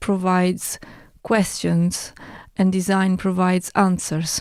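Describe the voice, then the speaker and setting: A woman with an Italian accent speaks very slowly in a monotone, flat intonation, captured in a very clean recording with a silent background. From Italy. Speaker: artist and broadcaster. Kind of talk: casual chat.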